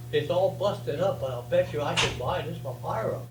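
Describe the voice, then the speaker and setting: A man speaks over noticeable background noise. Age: 80s+. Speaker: retired race car driver. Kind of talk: interview answer. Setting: live audience.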